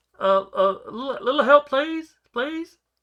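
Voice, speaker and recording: Someone speaks in a high-pitched, put-on character voice. The pace is fairly slow. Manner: pleading, weak.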